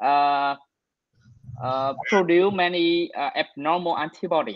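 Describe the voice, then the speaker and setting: This speaker talks at a fairly slow pace with a Vietnamese accent. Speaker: physician presenting at grand rounds. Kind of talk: medical case discussion. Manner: halting.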